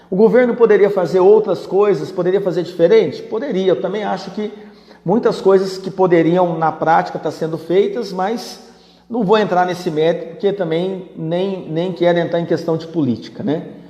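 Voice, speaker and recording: Over noticeable background noise, a man with a high pitch speaks at a moderate pace and with fairly even intonation. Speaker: business management teacher. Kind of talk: live-stream Q&A. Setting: live stream. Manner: conversational.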